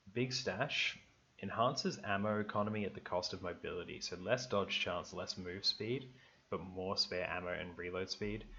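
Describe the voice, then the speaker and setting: A man speaks in a relaxed tone with an Australian accent. His pitch is fairly low. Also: ordinary pitch variation, moderate pace. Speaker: gaming youtuber. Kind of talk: gameplay commentary. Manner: casual, relaxed.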